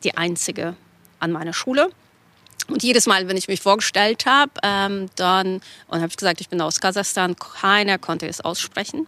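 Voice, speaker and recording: A bright, sharp voice with a Russian accent at a moderate pace, recorded dry and close with no echo. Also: woman. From Kazakhstan. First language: Russian (speaking German). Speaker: graphic novel author. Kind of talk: interview.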